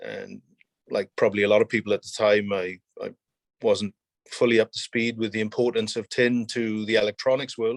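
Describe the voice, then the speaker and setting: A man with a Welsh accent talks with fairly even intonation in a dry, close sound with no echo. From South Wales. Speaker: mining company executive. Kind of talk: interview.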